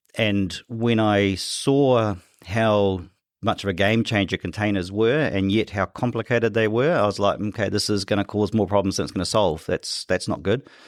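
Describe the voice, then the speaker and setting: In a New Zealand accent, a man speaks at a fairly low pitch on a very clean recording with a silent background. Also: ordinary pitch variation, moderate pace. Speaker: tech company CEO. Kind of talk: podcast interview. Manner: repetitive false starts.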